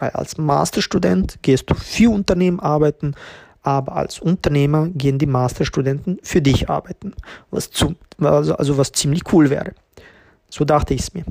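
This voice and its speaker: A man with a fairly high pitch speaks at a moderate pace in a somewhat breathy voice, his pitch varying in an ordinary way. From Tirol, Austria (refugee from ex-Yugoslavia at age six). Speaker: podcast host, entrepreneur. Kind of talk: personal storytelling monologue.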